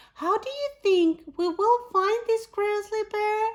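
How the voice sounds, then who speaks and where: In a put-on character voice, a woman talks squeaky and extremely high at a fairly slow pace. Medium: read story.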